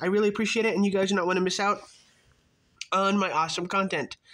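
Talking at a fairly quick pace, a man speaks with a high pitch. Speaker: YouTuber. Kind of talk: tutorial; channel intro.

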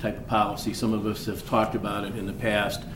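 Audible room echo hangs around the speaker. He is a man with a fairly low voice. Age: 60s. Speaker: mayor. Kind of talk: city council meeting discussion. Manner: halting.

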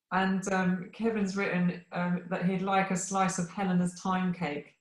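A woman speaks at a fairly slow pace in a somewhat breathy voice. There is audible room echo against a quiet background. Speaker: session organiser and moderator; moderator. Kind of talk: welcome and closing remarks. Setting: video call. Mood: warm, cheerful. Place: home room. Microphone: video call.

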